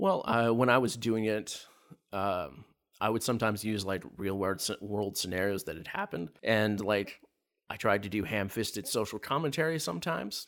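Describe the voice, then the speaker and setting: A man speaks at a moderate pace with a fairly low pitch and ordinary pitch variation. The recording is very clean, with a silent background. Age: 40s. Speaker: tabletop game master. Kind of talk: casual interview. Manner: halting, many filler words.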